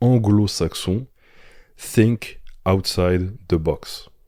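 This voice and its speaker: In a very clean recording with a silent background, a man speaks with a fairly low pitch and ordinary pitch variation. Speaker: bodybuilding coach and podcast host. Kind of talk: podcast monologue. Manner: casual, hesitant with fillers.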